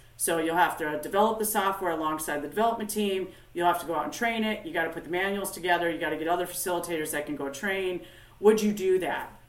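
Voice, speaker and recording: Over noticeable background noise and audible room echo, a woman talks at a very fast pace with a fairly low pitch and ordinary pitch variation. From US Upper Midwest, northern Minnesota. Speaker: company founder and industry expert. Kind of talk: interview.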